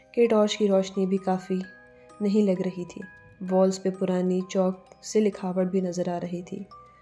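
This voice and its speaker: Over music in the background, a woman delivers a dramatic tone at a medium pitch with monotone, flat intonation. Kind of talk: horror story narration. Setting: studio voice-over with background music. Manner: suspenseful, dramatic.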